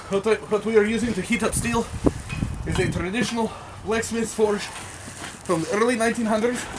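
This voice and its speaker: Fairly quick speech with long, frequent pauses, fairly even intonation, and noticeable background noise. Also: man. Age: 20s. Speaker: blacksmith. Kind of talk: demonstration tutorial. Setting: outdoors under a canopy in snow.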